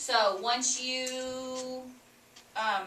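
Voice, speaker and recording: Noticeable background noise and audible room echo surround the recording. A woman speaks at a high pitch. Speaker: teacher. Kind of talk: classroom instruction. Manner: loud.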